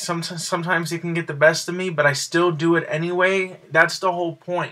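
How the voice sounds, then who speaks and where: On a very clean recording with a silent background, a man with a high pitch speaks at a moderate pace. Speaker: video blogger. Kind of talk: personal vlog monologue. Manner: quiet; halting.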